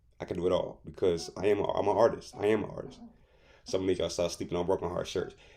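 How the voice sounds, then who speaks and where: A man talks at a very fast pace. His tone is animated. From US Midwest, Detroit, Michigan. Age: 30s. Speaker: artist and shirt designer. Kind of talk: casual promotional rant to camera. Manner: animated, street slang; stammering repetitions.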